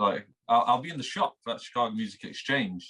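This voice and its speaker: A man with a Manchester accent talks at a moderate pace, his bright, sharp tone marked by very wide pitch swings. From England, Manchester. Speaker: instagram guitarist. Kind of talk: interview. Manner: halting.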